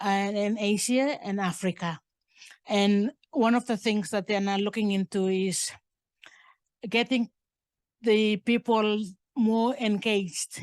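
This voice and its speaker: Long, frequent pauses interrupt speech delivered at a very slow pace. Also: woman, fairly high pitch for a woman, ordinary pitch variation, quiet background. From Papua New Guinea, Buka island. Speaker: curator. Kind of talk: public talk, audience Q&A. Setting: museum talk with audience. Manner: halting.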